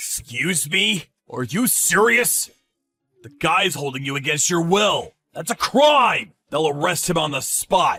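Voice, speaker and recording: A man's cartoonish character voice, high-pitched and fairly slow. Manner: blunt, forceful.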